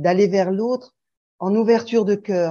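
Fairly slow speech from a woman, medium in pitch. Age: 60s. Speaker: sharing group participant. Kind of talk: group sharing.

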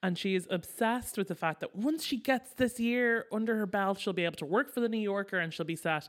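A woman with a plain, everyday voice speaks at a medium pitch and a fairly quick pace, with hardly any pauses. Her intonation is lively, and the recording is very clean with a silent background. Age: 30s. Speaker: podcast co-host, pop culture commentator. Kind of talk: casual chat.

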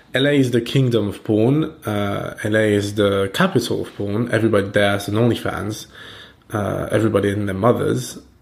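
A man's fairly low voice with a French accent, fairly even intonation and a moderate pace. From France. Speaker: podcast host. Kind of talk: casual chat.

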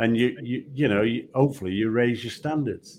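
This is a man's voice. He speaks with a Yorkshire accent. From Yorkshire, England. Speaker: retired football referee. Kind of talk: casual interview. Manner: halting, repeats words.

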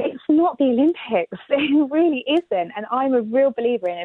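At a moderate pace, a high-pitched woman speaks with a British accent. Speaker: former Olympic athlete. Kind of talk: interview.

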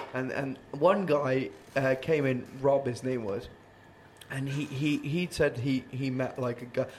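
This man's somewhat breathy voice sits at a medium pitch, moving at a fairly slow pace with fairly even intonation. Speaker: band vocalist hosting band podcast. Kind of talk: casual chat. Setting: late night recording after gig.

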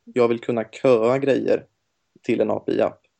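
At a moderate pace, a man is speaking. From Gothenburg, western Sweden. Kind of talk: casual interview. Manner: hesitant, many fillers.

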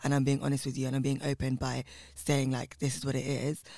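In a London accent, a man talks at a fairly quick pace and a medium pitch. His tone is dark and mellow, and his intonation is monotone and flat. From West London, England (Southall). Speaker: drag performance artist. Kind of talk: casual interview chat.

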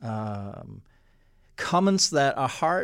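Heard in a very clean recording with a silent background, a man speaks with a Danish accent. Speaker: podcast host. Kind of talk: interview. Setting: studio.

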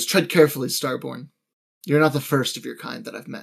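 Using a put-on character voice, a man speaks fairly quickly in a raspy, fairly high voice, recorded very cleanly with a silent background. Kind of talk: formal, archaic. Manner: warning, enigmatic.

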